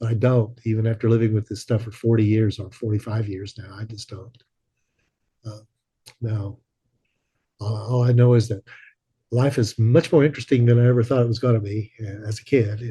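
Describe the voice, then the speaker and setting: A man with an American accent at medium pitch, somewhat breathy with a dark, mellow tone, monotone, flat intonation, a fairly quick pace, long, frequent pauses and big swings in loudness. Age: 70s. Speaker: widower of an abduction researcher. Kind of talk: interview. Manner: halting.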